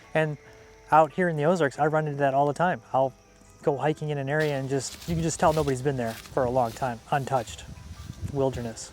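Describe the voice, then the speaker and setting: Music plays behind a man speaking at a very fast pace in a Wisconsin accent. His pitch is fairly high, with ordinary variation. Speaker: homesteader and outdoors vlogger. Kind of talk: casual vlog talk to camera.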